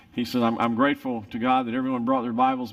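Against a quiet background, a man speaks very fast with monotone, flat intonation. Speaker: pastor. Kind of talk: sermon intro and prayer. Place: church.

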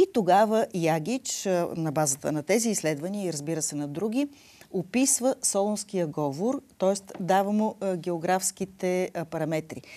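Speaking at a fairly slow pace, a woman uses lively intonation in a dark, mellow tone. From Bulgaria. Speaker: linguistics professor. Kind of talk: TV interview. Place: studio.

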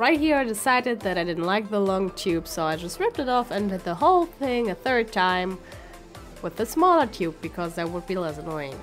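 Music plays behind a woman at a medium pitch. Her pitch swings very widely. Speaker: makeup tutorial vlogger. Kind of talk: tutorial. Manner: casual.

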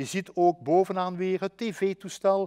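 Pitched high, a man speaks at a very slow pace with a dry, close sound and no echo. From Belgian Limburg. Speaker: educational adviser. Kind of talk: webinar presentation. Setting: online webinar.

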